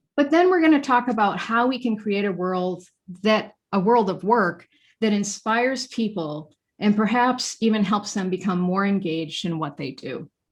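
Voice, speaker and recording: A woman with an American accent speaks at a moderate pace in a medium pitch, somewhat breathy, over a quiet background. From Maine, US. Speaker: featured speaker on workplace design. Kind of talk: presentation to a professional association. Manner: formal.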